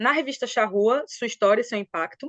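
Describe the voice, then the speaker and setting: A woman with a Brazilian accent, fairly quick pace and ordinary pitch variation, dry and close with no echo. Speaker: historian, doctoral researcher. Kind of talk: academic webinar presentation. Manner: fast; animated.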